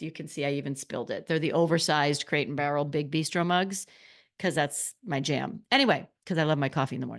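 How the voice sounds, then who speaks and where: Against a quiet background, a woman with a very deep, low pitch speaks at a fairly quick pace in an animated tone with ordinary pitch variation. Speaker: podcast host. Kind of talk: casual podcast monologue. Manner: fast.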